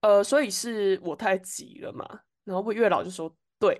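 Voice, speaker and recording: A woman's fairly high-pitched voice at a fairly slow pace, over a quiet background. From Taiwan. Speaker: podcast co-host. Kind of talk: casual chat.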